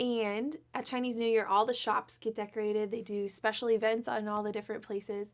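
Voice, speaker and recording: A soft-spoken woman with a fairly high pitch, at a moderate pace, on a very clean recording with a silent background. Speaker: children's show co-host. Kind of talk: storytelling for children.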